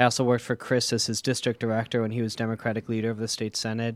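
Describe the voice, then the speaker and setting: A man speaks with an Upper Midwest accent at a medium pitch. The recording is very clean, with a silent background. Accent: Upper Midwest American. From US Midwest, Milwaukee, Wisconsin. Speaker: state legislator. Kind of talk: casual interview. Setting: radio studio.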